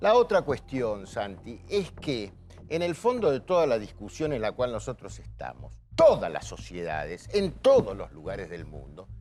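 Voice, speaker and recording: Big swings in loudness run through a man's speech at a fairly slow pace. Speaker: TV panelist. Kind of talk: televised panel debate.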